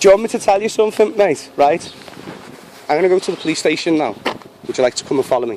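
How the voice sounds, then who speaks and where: A high-pitched man at a very fast pace, broken by long, frequent pauses, over noticeable background noise. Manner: angry, insistent.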